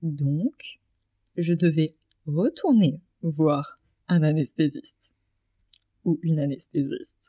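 A woman is heard with a dry, close sound and no echo. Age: 20s. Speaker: interviewee on voluntary sterilisation. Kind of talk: personal testimony interview.

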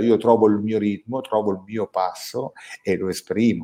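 A man's voice with a dark, mellow tone. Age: 50s. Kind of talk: casual chat.

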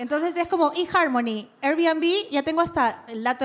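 A woman speaks at a moderate pace with lively intonation. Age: 30s. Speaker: podcast co-host. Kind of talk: live podcast before audience, casual chat. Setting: live recording with audience.

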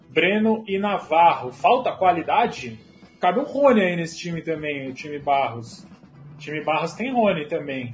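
Noticeable background noise sits behind a man with a high pitch. He speaks at a moderate pace with very wide pitch swings. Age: 20s. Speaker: football livestream host. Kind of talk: casual livestream chat. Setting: home office livestream.

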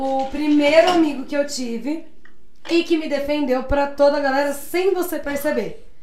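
A high-pitched woman at a fairly slow pace, ordinary pitch variation, audible room echo around her. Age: 20s. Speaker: podcast guest, bar worker. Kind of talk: casual chat.

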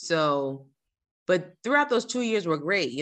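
A woman with an American accent talks over a quiet background. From New Jersey. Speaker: civil engineer and author. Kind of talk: casual interview.

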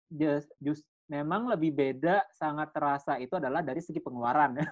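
With an ordinary speaking voice, a man talks at a fairly quick pace and a fairly high pitch, using ordinary pitch variation. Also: hardly any pauses. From Bali. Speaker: content creator. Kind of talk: casual chat.

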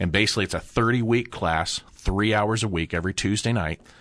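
A man speaks over a quiet background. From US Midwest, Central Ohio. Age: 50s. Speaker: entrepreneur. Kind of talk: interview.

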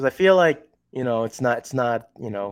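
Speaking at a moderate pace, a man uses an unremarkable speaking voice at medium pitch. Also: very clean recording, silent background. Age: 30s. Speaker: artist. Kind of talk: casual chat.

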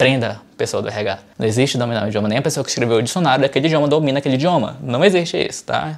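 A man talks at a very fast pace with hardly any pauses. His pitch is medium with ordinary variation, and there is noticeable background noise. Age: 30s. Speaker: English teacher and YouTuber. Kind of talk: tutorial. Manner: casual, conversational.

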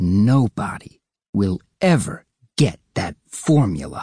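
A man does a put-on character voice at a fairly low pitch, with very wide pitch swings. He goes at a fairly slow pace, and the sound is dry and close with no echo. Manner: very slow, deliberate.

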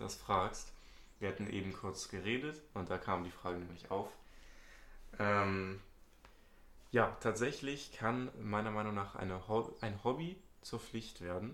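Speaking very slowly with long, frequent pauses, a man with a fairly low pitch is heard in a room with audible echo. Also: ordinary pitch variation. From Hamburg, northern Germany. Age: young. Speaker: student podcast host. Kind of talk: casual chat.

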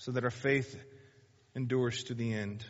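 Speech at a moderate pace rings with audible room echo. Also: man. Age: 40s. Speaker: pastor. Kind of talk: sermon.

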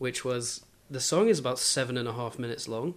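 Speaking with a southern English accent, a man moves at a fairly quick pace with ordinary pitch variation. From southeast England (Kent). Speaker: podcast guest, music fan. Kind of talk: casual chat.

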